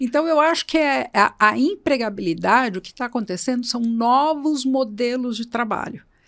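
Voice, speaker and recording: The speech moves at a moderate pace with hardly any pauses, lively intonation and big swings in loudness. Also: woman, high pitch for a woman. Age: 60s. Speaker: HR entrepreneur, employability expert. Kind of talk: podcast interview.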